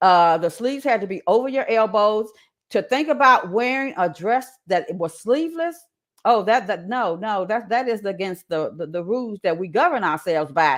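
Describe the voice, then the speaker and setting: A woman speaks at a moderate pace in a Southern accent, her pitch fairly high with very wide swings. The recording is very clean, with a silent background. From Indianapolis, Indiana, US Midwest. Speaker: creative writer and media specialist. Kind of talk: interview testimony. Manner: halting, with many repeats and restarts.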